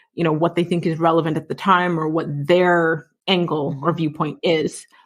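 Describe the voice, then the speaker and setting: This is a plain, everyday voice, a woman's at a fairly low pitch. She goes at a moderate pace on a very clean recording with a silent background. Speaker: podcast host and author. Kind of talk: podcast interview host.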